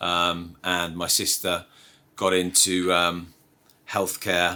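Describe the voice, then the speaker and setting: A man's very deep, low voice with a bright, sharp tone, at a very slow pace, on a very clean recording with a silent background. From northeast England, Sunderland. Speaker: business executive. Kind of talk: interview. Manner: halting, many fillers.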